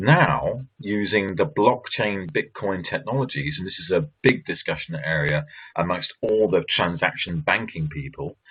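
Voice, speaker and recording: A man with an English accent talks at a fairly slow pace. His pitch swings very widely. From England. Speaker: author and banking commentator. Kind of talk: presentation.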